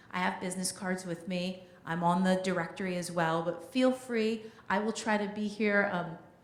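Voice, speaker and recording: Fairly even intonation comes at a moderate pace over noticeable background noise and audible room echo. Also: woman, medium pitch for a woman. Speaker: community liaison, former news reporter. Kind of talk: town hall announcement.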